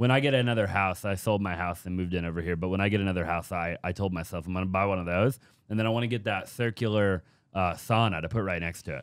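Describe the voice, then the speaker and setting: At a very fast pace, a man talks with a very deep, low pitch and ordinary pitch variation. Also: quiet background. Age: 20s. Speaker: podcast host and real estate business owner; podcast host. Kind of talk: casual interview chat. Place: studio. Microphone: studio mic.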